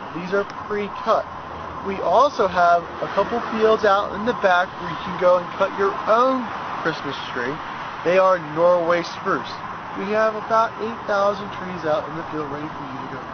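A man at a moderate pace with ordinary pitch variation, dry sound with no echo, and noticeable background noise. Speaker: tree farm seller. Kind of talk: product walkthrough. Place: open country.

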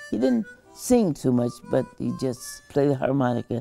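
A woman keeps a moderate pace while music plays behind her. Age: 80s+. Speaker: folk singer. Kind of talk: interview answer. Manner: casual, reflective.

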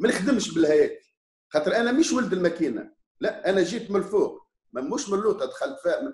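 Audible room echo surrounds a man whose extremely high voice swings very widely in pitch at a fairly quick pace. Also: quiet background. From Tunisia. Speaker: opposition politician. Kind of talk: interview. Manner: animated. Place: home room. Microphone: video call.

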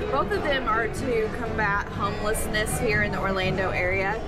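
The music behind the voice is clear. A woman speaks fairly quickly. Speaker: food vlogger. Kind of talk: casual vlog chat. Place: cafe. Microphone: phone near.

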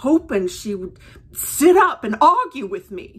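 Her pace is very slow, and the woman's pitch moves in an ordinary way. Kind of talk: personal storytelling. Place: home room. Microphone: phone near.

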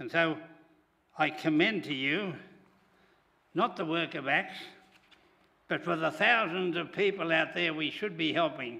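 In an Australian accent, a man with a high pitch talks fairly slowly with ordinary pitch variation and long, frequent pauses. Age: 80s+. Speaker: church charity leader; preacher. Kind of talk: church service leading. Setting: church. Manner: halting. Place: church. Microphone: podium.

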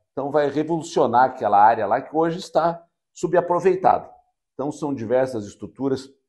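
A man with a fairly high pitch speaks at a moderate pace with ordinary pitch variation against a quiet background. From União da Vitória, Paraná, southern Brazil; Paraná, Brazil. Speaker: mayor. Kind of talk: interview. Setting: university campus. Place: studio. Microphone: lapel.

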